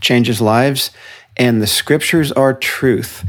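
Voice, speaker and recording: A man with an American accent speaks at a fairly slow pace in an ordinary speaking voice, his pitch medium with ordinary pitch variation. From New Jersey, New York City suburbs. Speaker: author. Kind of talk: interview.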